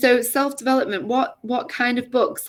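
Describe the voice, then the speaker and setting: A woman is speaking. She talks with an English accent. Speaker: English tutor. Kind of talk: casual chat. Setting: video call. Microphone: laptop.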